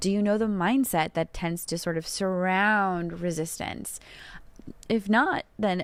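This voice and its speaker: Here a woman at medium pitch uses an unremarkable speaking voice with ordinary pitch variation. The recording is very clean, the background silent. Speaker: podcast host and tarot reader. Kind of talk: solo podcast answering listener questions.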